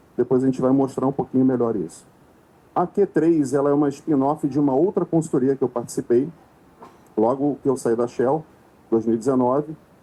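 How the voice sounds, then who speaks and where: In a Rio de Janeiro accent, a voice with a dark, mellow tone moves at a fairly quick pace, with ordinary pitch variation and long, frequent pauses. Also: man, medium pitch for a man. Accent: Rio de Janeiro (carioca). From Rio de Janeiro, Brazil. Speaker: consultant, conference speaker. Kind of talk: conference talk. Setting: stage with audience.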